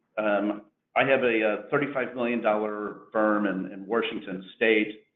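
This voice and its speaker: A man with a Missouri accent speaks at a fairly slow pace in a medium-pitched voice. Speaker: insurance agency owner. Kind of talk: webinar presentation.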